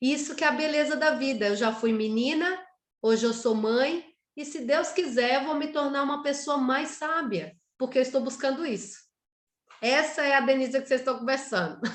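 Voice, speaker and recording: Moderate pace, ordinary pitch variation, and a high-pitched female voice. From Brazil, Pernambuco. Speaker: writer, workshop guest. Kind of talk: personal introduction in online workshop.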